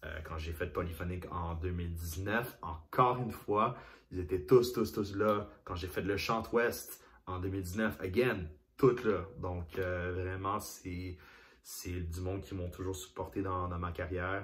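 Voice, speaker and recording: A man speaks at a fairly slow pace in a very deep, low pitch with ordinary pitch variation. His voice is somewhat breathy, and there is audible room echo. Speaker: singer, former youth association president. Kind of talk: interview testimony. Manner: halting, many repetitions.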